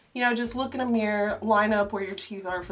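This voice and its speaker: Noticeable background noise fills the clip. Through it, a woman's voice comes across. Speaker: video creator. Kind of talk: tutorial. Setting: voiceover recorded separately. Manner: casual, filler-heavy.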